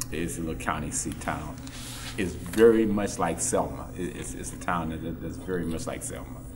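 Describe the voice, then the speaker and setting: A man with a very deep, low voice speaks at a moderate pace with lively intonation. Audible room echo and noticeable background noise surround him. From Texas. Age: 60s. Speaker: civil rights era witness. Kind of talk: panel discussion. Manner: halting, repeats words.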